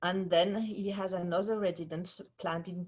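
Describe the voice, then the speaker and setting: A somewhat breathy woman with a French accent, medium pitch, fairly even intonation and a moderate pace. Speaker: museum curator. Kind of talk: formal introduction. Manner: hesitant, many fillers.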